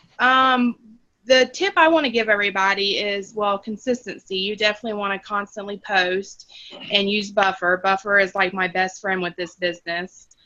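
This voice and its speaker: A woman with a Florida accent speaks at a medium pitch and a moderate pace. Her tone is bright and sharp, with ordinary pitch variation. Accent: Gainesville accent, noticeable. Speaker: team member, HR worker. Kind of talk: video call sharing tips. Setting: video call on phone. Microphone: phone connection cutting in and out.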